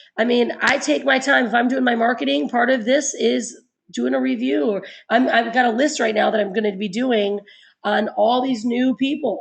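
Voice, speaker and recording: A woman talks at a fairly quick pace in a fairly high pitch, with vocal fry. Her tone is animated and her intonation lively. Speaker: network marketing team leader. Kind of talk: webinar training.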